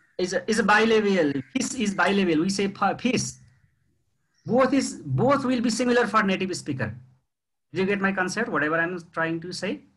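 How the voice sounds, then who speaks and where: With a Nepali accent, the speaker is heard over audible room echo. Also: man, high pitch for a man, lively intonation. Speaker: university lecturer. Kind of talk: lecture. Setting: video call. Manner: slow.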